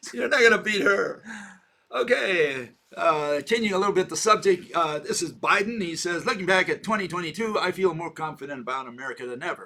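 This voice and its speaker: Lively intonation carries this speech along at a fairly quick pace. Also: man, high pitch for a man. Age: 70s. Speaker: video channel host discussing science theories. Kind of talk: casual discussion. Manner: halting, many fillers.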